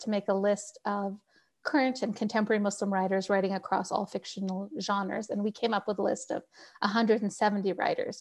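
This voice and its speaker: Over a quiet background, a woman talks at a fairly quick pace. She has a fairly high pitch and a normal speaking voice. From Canada. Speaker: novelist. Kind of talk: interview.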